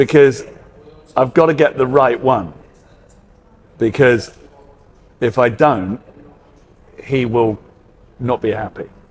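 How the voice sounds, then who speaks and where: A man with a British accent talks at a very slow pace, leaving long, frequent pauses. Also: medium pitch for a man, ordinary pitch variation. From UK. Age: 50s. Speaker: hairdresser. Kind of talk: casual interview chat. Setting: on camera interview. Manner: hesitant, many fillers.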